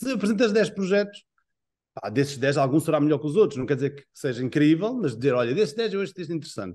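With an Azorean accent, a man talks in a dark, mellow tone and with lively intonation. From Azores, São Miguel; Azores. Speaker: tv series director. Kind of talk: interview; interview answer. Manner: halting. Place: home room. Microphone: video call.

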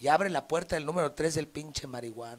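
A man talks at a fairly quick pace in a fairly high pitch. His pitch varies in an ordinary way.

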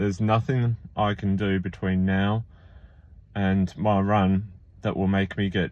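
The voice moves at a fairly slow pace with fairly even intonation, recorded dry with no echo. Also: man. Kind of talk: casual vlog chat. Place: car. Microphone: phone near.

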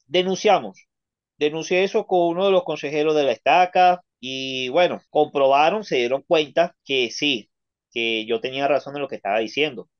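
A man speaks at a moderate pace with a fairly high pitch. The background is quiet. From Venezuela. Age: 30s. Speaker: ex-member of a church sharing his story; interview guest. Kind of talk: testimony. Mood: indignant, recounting bad experiences. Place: home room.

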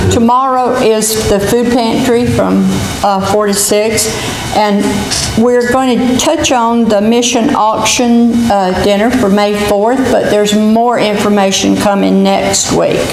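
In a room with audible echo and light background noise, a woman speaks at a very slow pace with fairly even intonation. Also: very even loudness. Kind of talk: church announcements and worship introduction. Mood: warm, informal. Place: church. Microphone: podium.

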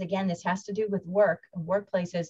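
A woman talks with fairly even intonation. The background is quiet. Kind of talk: lecture. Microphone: webcam.

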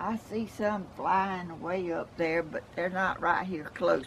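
With a Southern US accent, a woman speaks very slowly in a fairly low voice, her pitch varying in an ordinary way over light background noise. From Georgia, US South. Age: 80s+. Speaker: home gardener. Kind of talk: casual talk to camera. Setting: outdoors. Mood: warm, cheerful. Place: garden. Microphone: camera far.

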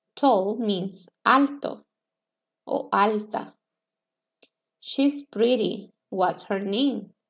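With a Spanish accent, a woman talks at a very slow pace, leaving long, frequent pauses and using ordinary pitch variation. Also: fairly high pitch for a woman, quiet background. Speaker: English teacher. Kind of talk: lecture. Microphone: webcam.

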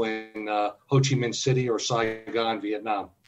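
Music plays in the background. A man talks with fairly even intonation. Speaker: early retiree and travel blogger. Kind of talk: casual interview.

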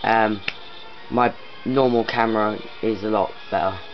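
A man talks while faint music sounds in the background. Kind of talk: casual vlog chat. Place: home room. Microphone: phone near.

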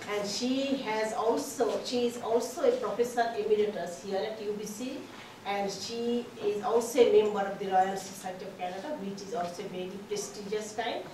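A woman speaks with fairly even intonation amid audible room echo and light background noise. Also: moderate pace. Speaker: conference organizer introducing speaker. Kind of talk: formal introduction. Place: meeting room. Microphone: camera far.

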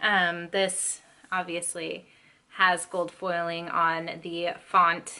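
A woman speaks with a bright, sharp tone. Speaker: book vlogger. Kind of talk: casual vlog chat. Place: home room.

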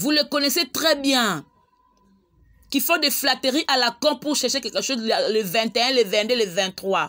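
A high-pitched woman's voice, bright and sharp, with lively intonation, very even loudness and a moderate pace on a very clean recording with a silent background. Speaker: online chronicler / YouTube host. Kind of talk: casual vlog monologue. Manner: animated.

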